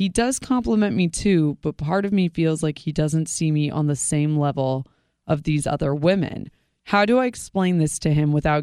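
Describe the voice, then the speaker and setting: A woman speaks with a very deep, low pitch and a dark, mellow tone, her intonation lively, in a very clean recording with a silent background. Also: dry, close sound with no echo. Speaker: show staffer reading listener emails. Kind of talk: reading aloud. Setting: studio.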